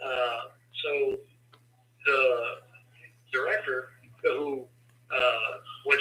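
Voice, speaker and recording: Background noise is noticeable throughout. Through it, a man talks. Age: 60s. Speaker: incarcerated man advocating for parole reform. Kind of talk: interview.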